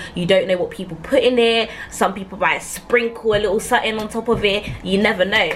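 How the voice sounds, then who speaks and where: A woman with a London accent talks at a fairly quick pace and fairly high pitch with hardly any pauses, amid noticeable background noise. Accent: London multicultural English. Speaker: YouTuber. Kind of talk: storytime vlog. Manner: fast; animated.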